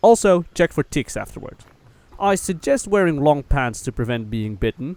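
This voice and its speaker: A man at a moderate pace, his voice making very wide pitch swings. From Netherlands. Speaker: travel vlogger. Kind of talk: scripted narration.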